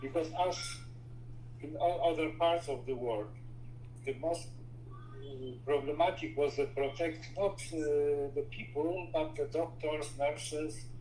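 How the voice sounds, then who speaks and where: A man with a Polish accent talks at a fairly slow pace, his pitch fairly high and its variation ordinary. Long, frequent pauses break up his speech, and background noise is noticeable. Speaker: inventor and entrepreneur. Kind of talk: interview. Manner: halting, with frequent fillers.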